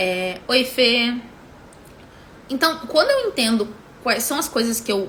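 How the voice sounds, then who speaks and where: In a southern Brazilian accent, the speaker talks over noticeable background noise. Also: woman. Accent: gaúcho accent, somewhat heavy. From southern Brazil, Rio Grande do Sul (Porto Alegre). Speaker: business mentor. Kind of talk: live stream teaching. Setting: Instagram live. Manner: full, complete pronunciation of words; halting, many fillers and repetitions.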